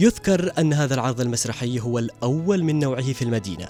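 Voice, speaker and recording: With music in the background, a man speaks at a moderate pace with lively intonation. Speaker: TV reporter. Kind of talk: TV news report narration.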